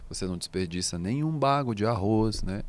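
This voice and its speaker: An ordinary speaking voice from a man, fairly low in pitch, with lively intonation and a fairly quick pace. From Brazil, Minas Gerais (Belo Horizonte/Contagem). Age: 30s. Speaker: singer-songwriter. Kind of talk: interview conversation. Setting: studio.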